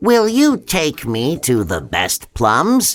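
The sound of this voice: A man performs a put-on character voice slowly with very wide pitch swings, captured on a very clean recording with a silent background. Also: fairly high pitch for a man.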